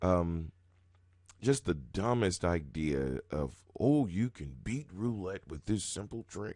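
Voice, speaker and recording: A man's very deep, low voice with a dark, mellow tone, very slow, with very wide pitch swings and big swings in loudness, over a quiet background. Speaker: roulette strategy youtuber. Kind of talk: live gameplay commentary. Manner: casual and conversational.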